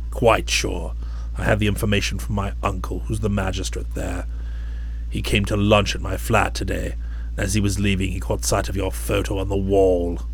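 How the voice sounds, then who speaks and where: Someone uses a put-on character voice. Clear background noise and rumbling are heard. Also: man, moderate pace. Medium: read story. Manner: curt, menacing.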